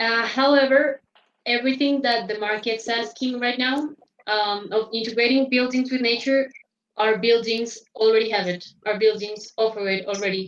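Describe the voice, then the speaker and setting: A woman with a Spanish accent speaks at a moderate pace. Her pitch is fairly high and her intonation fairly even. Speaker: interpreter. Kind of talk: interpreting. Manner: halting, many fillers.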